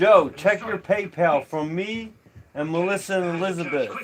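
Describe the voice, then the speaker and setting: A man's fairly slow speech is heard against noticeable background noise. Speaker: livestreamer. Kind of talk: casual livestream chat. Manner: repetitive stammering.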